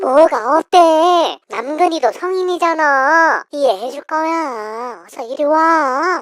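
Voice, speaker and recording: A woman performs a put-on character voice at a high pitch. She goes at a fairly slow pace. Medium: audio drama.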